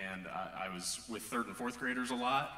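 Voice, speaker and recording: Male speech with an American accent at a moderate pace and ordinary pitch variation, with music in the background and audible room echo. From northwest Missouri. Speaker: church elder candidate. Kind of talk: interview on stage. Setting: church. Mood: warm, enthusiastic. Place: church.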